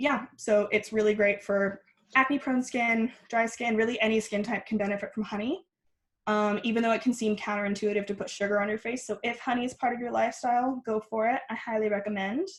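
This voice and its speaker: Somewhat breathy, a woman speaks fairly quickly with a fairly high pitch and fairly even intonation. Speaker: skincare workshop guest teacher. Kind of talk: online workshop tutorial. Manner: fast.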